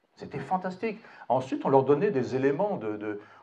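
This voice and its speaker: A man's fairly high, dark and mellow voice at a fairly slow pace, with very wide pitch swings and audible room echo. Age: 60s. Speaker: retired general, political speaker. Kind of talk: public speech at a town meeting. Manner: halting, with many repeated words and fillers.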